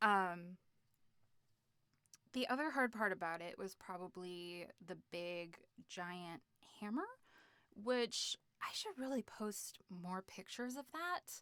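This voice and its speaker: With an American accent, a woman with a bright, sharp tone and medium pitch speaks very slowly, leaving long, frequent pauses, her intonation lively. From United States. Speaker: streamer and cosplayer. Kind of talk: live stream Q&A. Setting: live stream. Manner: animated.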